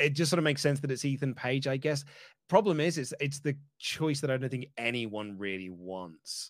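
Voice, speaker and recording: Lively intonation lifts an ordinary speaking voice at a moderate pace. The recording is very clean, with a silent background. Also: man, fairly high pitch for a man. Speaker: wrestling journalist guest. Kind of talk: casual chat, predictions show.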